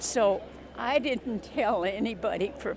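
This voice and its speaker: Amid noticeable background noise and audible room echo, a woman with an American accent speaks at a fairly high pitch. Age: 80s+. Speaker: war veteran. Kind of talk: interview.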